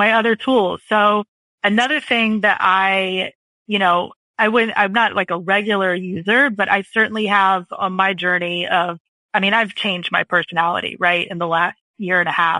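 In a plain, everyday voice, a woman speaks at a moderate pace. Her pitch is medium, and her intonation fairly even. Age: 40s. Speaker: copywriter. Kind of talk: casual chat.

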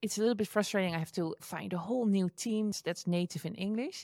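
Dry and close with no echo, a woman's voice comes through a very clean recording over a silent background. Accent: Dutch. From Netherlands. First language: Dutch. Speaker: entrepreneur and online educator. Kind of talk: interview.

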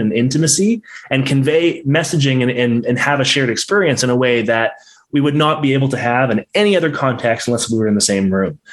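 At a very fast pace, a man talks at medium pitch. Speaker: podcast host. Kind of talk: interview. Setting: live virtual reality broadcast.

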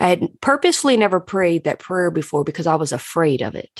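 A woman speaks fairly quickly with a fairly low pitch and a plain, everyday voice. The sound is dry and close, with no echo. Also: quiet background. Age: 30s. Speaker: podcast host and life coach. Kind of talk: casual reflective monologue. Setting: home, seated on a couch. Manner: warm, conversational.

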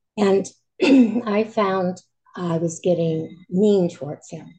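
Somewhat breathy, a woman talks in a dark, mellow tone with ordinary pitch variation. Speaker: caller seeking advice. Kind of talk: personal sharing.

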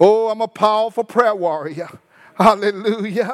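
A man's shaky, high-pitched, put-on character voice at a moderate pace. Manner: quivering, fervent.

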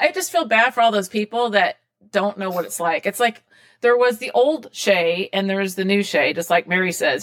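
A woman has a normal speaking voice at medium pitch. She moves at a fairly quick pace with ordinary pitch variation. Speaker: podcast host. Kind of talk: casual interview.

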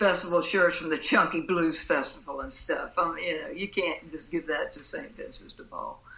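Someone with a Mississippi accent talks at a moderate pace with hardly any pauses. Noticeable background noise runs underneath. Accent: Southern US, Mississippi. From US Mississippi coast. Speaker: blues musician. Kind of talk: casual interview chat.

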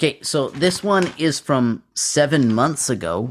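An unremarkable speaking voice from a man with a Canadian accent, fairly high-pitched with lively intonation, on a very clean recording with a silent background. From Canada. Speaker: podcast co-host. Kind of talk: casual chat.

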